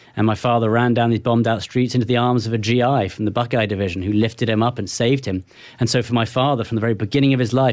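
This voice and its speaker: Speaking very fast in a British accent, a man holds a medium pitch with monotone, flat intonation and very even loudness. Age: 40s. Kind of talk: interview. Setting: studio.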